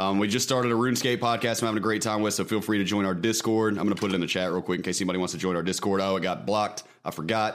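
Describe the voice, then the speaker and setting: Speaking very fast with a Mississippi accent, a man keeps his fairly low voice in a fairly even intonation. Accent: Southern US (Mississippi). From US South (Mississippi). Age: 20s. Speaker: former prisoner and streamer. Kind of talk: casual chat.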